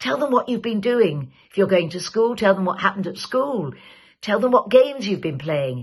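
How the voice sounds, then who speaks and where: A woman speaks with a somewhat breathy, warm tone and very wide pitch swings. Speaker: actor. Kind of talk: public safety message to camera. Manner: warm, friendly.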